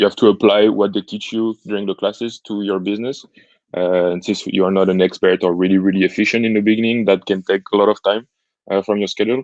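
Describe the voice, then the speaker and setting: Speaking very fast with a French accent, a man keeps a monotone, flat intonation at a fairly low pitch. The sound is dry and close, with no echo. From France. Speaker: entrepreneurship student. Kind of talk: interview. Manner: hesitant, many fillers.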